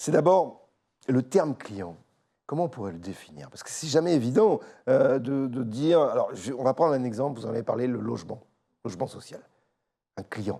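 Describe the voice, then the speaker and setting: A man at medium pitch with vocal fry, very wide pitch swings and big swings in loudness, at a moderate pace with long, frequent pauses. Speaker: interview host. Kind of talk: interview. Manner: hesitant, many fillers.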